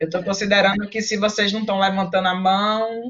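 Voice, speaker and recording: This is a normal speaking voice at a fairly slow pace, with fairly even intonation. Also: woman. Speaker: university lecturer. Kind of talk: online lecture.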